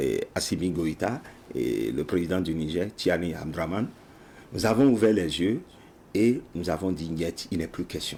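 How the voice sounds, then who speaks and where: A man speaks in a very deep, low voice with a dark, mellow tone. His pace is fairly slow, with long, frequent pauses. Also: ordinary pitch variation. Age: 60s. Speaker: project founder, patriotic education advocate. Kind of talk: TV interview.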